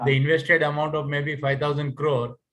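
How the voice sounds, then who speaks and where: The man's voice sits at a fairly high pitch. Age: 60s. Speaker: retired finance executive. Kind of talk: audience question. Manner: halting.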